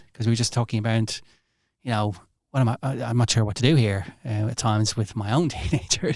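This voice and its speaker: A man's medium-pitched voice with an Irish accent, in a very clean recording against a silent background. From Ireland. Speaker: hospital doctor. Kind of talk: podcast interview.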